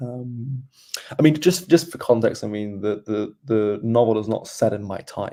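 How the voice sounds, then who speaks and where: With ordinary pitch variation, a man talks at a moderate pace and a medium pitch. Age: 20s. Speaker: novelist. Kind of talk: interview. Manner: halting.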